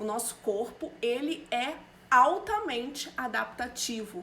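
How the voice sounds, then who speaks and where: A woman speaks at a fairly slow pace. Noticeable background noise runs through the clip. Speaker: nutritionist. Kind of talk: live stream talk. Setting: live stream.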